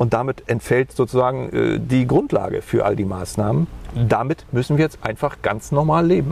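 A man talks with very even loudness, keeping a moderate pace. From East Germany (GDR), Mecklenburg-Vorpommern. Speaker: politician, former radio presenter. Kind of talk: interview. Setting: outdoors on a bench by a lake. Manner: hesitant, repetitive.

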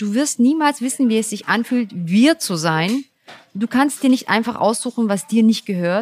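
In a dry, close sound with no echo, a woman uses a normal speaking voice at a fairly high pitch, with ordinary pitch variation and a moderate pace. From Germany, Turkish parents. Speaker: podcast host. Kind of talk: interview.

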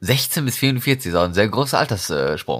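A man at a fairly slow pace, with vocal fry and very wide pitch swings. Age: 20s. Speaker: podcast host. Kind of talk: casual chat.

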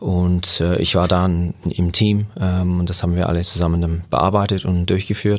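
Delivery is monotone and flat at a moderate pace. Loudness stays very even, with hardly any pauses. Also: man, very deep, low pitch for a man. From England. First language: English (speaking German). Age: 40s. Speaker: youth football coach. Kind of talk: interview. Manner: halting, many fillers.

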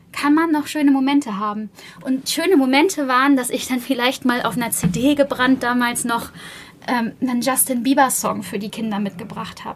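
This woman talks at a moderate pace, her voice high in pitch with ordinary pitch variation. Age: 30s. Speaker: PR manager, media school alumna. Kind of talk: interview.

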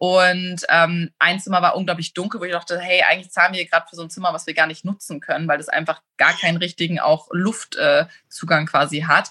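The voice has a bright, sharp tone and fairly even intonation at a fairly quick pace. Its loudness swings widely. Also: woman. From northern Germany, rural area near Hamburg. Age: 30s. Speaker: fashion blogger and property investor. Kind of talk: casual interview. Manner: talkative.

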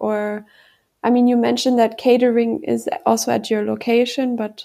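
A high-pitched woman's voice with a German accent, a dark, mellow tone and a fairly slow pace. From Germany. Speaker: podcast host. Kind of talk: interview.

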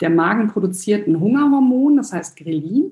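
Her voice dark and mellow and somewhat breathy, a woman speaks at a fairly slow pace with lively intonation. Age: 30s. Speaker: nutritionist and hypnosis coach. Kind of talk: interview.

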